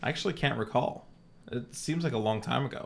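Vocal fry marks this man's voice. He speaks at a medium pitch with lively intonation. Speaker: podcast co-host. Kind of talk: casual chat, improv game play.

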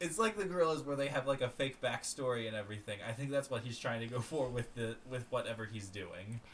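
A man with an American accent talks at a very fast pace. Noticeable background noise runs underneath. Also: medium pitch for a man, ordinary pitch variation, hardly any pauses. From Florida, US. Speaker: podcast co-host. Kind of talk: casual chat.

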